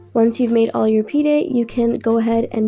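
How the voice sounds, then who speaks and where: A woman talks at a very fast pace. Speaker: cooking channel host. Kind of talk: recipe tutorial voiceover.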